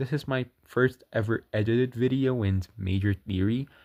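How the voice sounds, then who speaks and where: In a very clean recording with a silent background and a dry, close sound with no echo, a man with a non-native accent speaks at a medium pitch and moderate pace. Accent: non-native English, self-described bad. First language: not English. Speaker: video game theory youtuber. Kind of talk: scripted narration; casual outro to viewers. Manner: halting.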